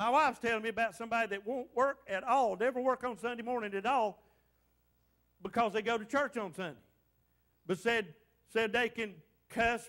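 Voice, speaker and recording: The speaker has an animated, playful tone, ordinary pitch variation and a moderate pace against a quiet background. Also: man. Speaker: pastor. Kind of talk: fervent revival-style sermon with call-and-response to the congregation. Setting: church. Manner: exhorting and animated, punctuating lines with repeated amens; playful teasing of the congregation to draw responses. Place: church.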